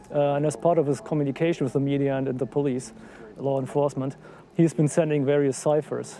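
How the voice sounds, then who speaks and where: A very fast man's voice with a German accent, fairly high in pitch and fairly even in intonation, over noticeable background noise. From Germany. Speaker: citizen investigator. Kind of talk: interview. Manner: hesitant, many fillers.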